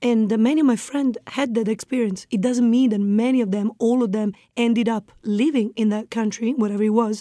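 A woman with an Italian accent speaks at a fairly quick pace in a fairly high pitch, with a dark, mellow tone and fairly even intonation. The recording is very clean, with a silent background. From northeast Italy. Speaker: expat guest. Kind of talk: interview.

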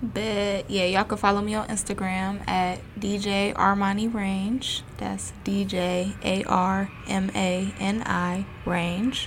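Against noticeable background noise, a woman speaks very slowly at medium pitch in a flat monotone, with hardly any pauses. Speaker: DJ. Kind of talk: casual chat.

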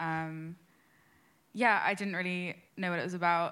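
Here a woman with a London accent talks at a moderate pace. Her voice is fairly low-pitched with a bright, sharp tone, on a very clean recording with a silent background. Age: 20s. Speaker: church course participant. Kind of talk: testimony.

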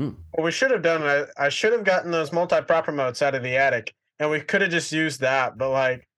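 Over a quiet background, the speech races along at a very fast pace with ordinary pitch variation. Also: man, fairly high pitch for a man. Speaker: guest, filmmaker nephew, home haunt builder. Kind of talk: casual chat.

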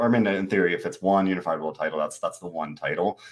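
This is a man speaking. His pitch is fairly low. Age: 20s. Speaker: wrestling podcast host. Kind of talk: casual chat.

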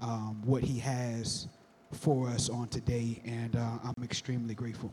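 A man speaks at medium pitch and a moderate pace, in a monotone, flat intonation. Noticeable background noise runs under his voice. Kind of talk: panel talk at a church event.

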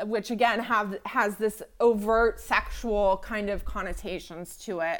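On a very clean recording with a silent background, a woman in a normal speaking voice talks at a fairly slow pace and medium pitch. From United States. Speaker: podcast co-host. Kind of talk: casual podcast discussion of a TV show.

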